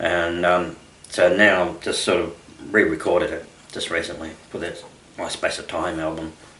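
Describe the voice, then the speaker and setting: In an Australian accent, a man with a very deep, low pitch speaks at a moderate pace in a monotone, flat intonation, with long, frequent pauses, big swings in loudness, audible room echo and noticeable background noise. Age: 60s. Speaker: country singer-songwriter. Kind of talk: radio interview. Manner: halting, many fillers.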